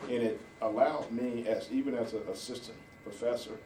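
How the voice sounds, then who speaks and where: A man at a medium pitch, with audible room echo and noticeable background noise. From Georgia, USA (moved here in 1968). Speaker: county sheriff. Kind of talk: interview. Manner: halting, many fillers.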